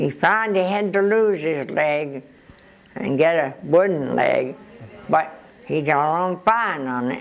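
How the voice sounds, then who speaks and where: Noticeable background noise sits behind a woman whose very deep, low voice carries lively intonation. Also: fairly slow pace. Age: 80s+. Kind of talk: interview answer.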